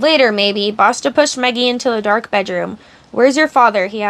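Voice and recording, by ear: With lively intonation, a speaker is reading aloud in a natural voice.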